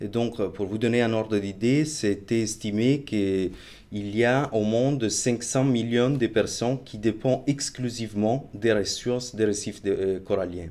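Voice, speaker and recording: A man with an Italian accent speaks at a fairly slow pace in a dark, mellow tone with fairly even intonation. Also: medium pitch for a man. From Italy. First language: Italian (speaking French). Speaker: marine researcher. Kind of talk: interview. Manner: hesitant, many fillers.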